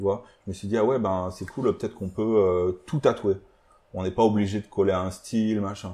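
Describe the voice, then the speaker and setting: A man speaks at a fairly low pitch with a dark, mellow tone and fairly even intonation. His pace is fairly quick, and the background is quiet. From partly Germany. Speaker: illustrator and tattoo designer. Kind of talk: casual interview. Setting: his tattoo shop. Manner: hesitant, many fillers.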